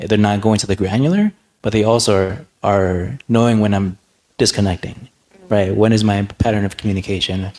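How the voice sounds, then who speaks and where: Soft-spoken and fairly low-pitched, a man talks at a fairly quick pace with fairly even intonation. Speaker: nonprofit leader. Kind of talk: panel discussion.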